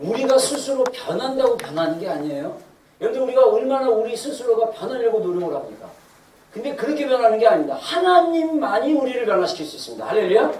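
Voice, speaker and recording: Words come out at a very fast pace. Behind them, background noise is noticeable. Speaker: pastor. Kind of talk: sermon. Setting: church.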